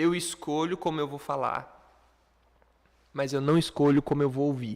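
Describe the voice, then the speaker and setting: This man has a fairly high pitch and an animated tone. His pace is moderate. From Brazil. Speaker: online English teacher. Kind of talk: lecture.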